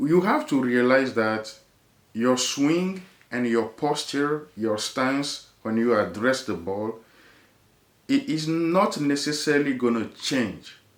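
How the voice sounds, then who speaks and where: With a strong French accent, a man talks at a fairly slow pace. His pitch variation is ordinary. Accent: heavy French. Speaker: golf video creator. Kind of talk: casual chat.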